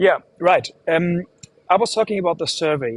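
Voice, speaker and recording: With a German accent, a man talks at a moderate pace, the sound dry and close with no echo. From Germany. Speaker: livestream host. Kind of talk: live stream hosting. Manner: halting, many fillers.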